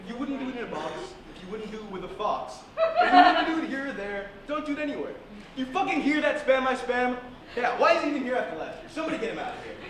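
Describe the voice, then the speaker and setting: The speech moves at a very fast pace. Audible room echo and loud background noise fill the recording. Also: man. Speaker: host character in a comedy skit. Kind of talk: theatrical comedic announcement. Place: stage. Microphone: camera far.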